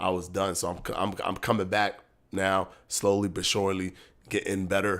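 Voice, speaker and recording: At a moderate pace, a man with a fairly low pitch and a bright, sharp tone speaks on a very clean recording with a silent background. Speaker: boxing streamer. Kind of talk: live stream chat. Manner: casual, repetitive.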